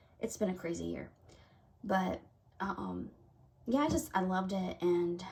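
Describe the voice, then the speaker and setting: A woman is speaking. She has a Southern US accent. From US South. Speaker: craft video creator. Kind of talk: casual chat; casual vlog chat. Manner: halting. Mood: warm and relaxed. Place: home room. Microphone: camera far.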